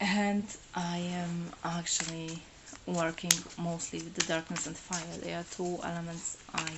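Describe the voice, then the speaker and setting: Over noticeable background noise, a woman with a Polish accent speaks in a fairly low voice. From Poland. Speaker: tarot reader. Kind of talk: live stream monologue. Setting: solo live stream. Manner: halting, many fillers.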